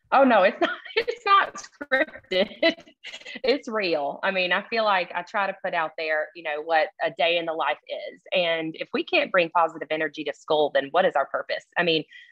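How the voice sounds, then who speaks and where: A woman with a strong Southern accent and medium pitch talks at a moderate pace with lively intonation. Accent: thick Southern. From Alabama. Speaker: assistant principal. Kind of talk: interview.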